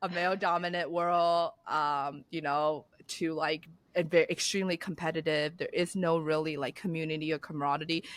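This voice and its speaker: A woman speaks with a Chinese accent at a moderate pace and fairly low pitch. Her intonation is monotone and flat, on a very clean recording with a silent background. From China. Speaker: business founder and CEO. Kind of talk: podcast interview.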